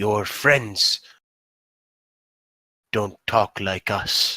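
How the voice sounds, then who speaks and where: A man does a raspy, put-on character voice at a fairly low pitch. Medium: actual play. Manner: slow, over-pronouncing the wrong syllables.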